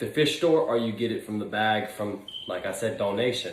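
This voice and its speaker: Room echo is audible, and there's noticeable background noise. A man speaks at a medium pitch and a moderate pace with ordinary pitch variation. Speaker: aquarium hobbyist YouTuber. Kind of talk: casual tutorial vlog. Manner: hesitant fillers.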